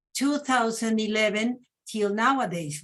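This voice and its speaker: A woman speaks at a fairly slow pace in a Mexican accent, her voice somewhat breathy. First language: Spanish. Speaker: panelist presenting a women's museum. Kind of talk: panel presentation. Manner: halting, many fillers.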